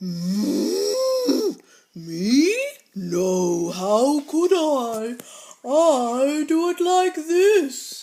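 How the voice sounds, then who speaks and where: A put-on character voice speaks at a very slow pace. Its pitch is high, with very wide swings. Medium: read story.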